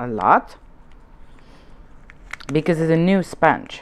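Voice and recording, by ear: The tone is clear and smooth, with ordinary pitch variation.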